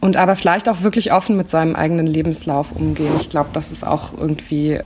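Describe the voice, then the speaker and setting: A woman speaks at a very deep, low pitch. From East Berlin (Köpenick). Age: 30s. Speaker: journalist. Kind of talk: interview. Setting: visiting Hamburg.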